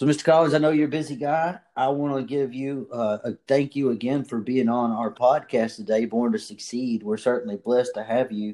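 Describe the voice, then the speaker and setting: The voice has a dark, mellow tone, moving at a fairly quick pace with hardly any pauses and ordinary pitch variation. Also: man, medium pitch for a man. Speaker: podcast host. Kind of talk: interview, upbeat motivational chat.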